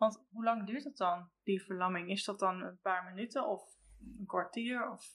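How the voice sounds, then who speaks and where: In an ordinary speaking voice, a woman at medium pitch talks at a moderate pace with ordinary pitch variation and big swings in loudness. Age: 40s. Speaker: train conductor, mother of a son with Duchenne. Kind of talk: casual interview.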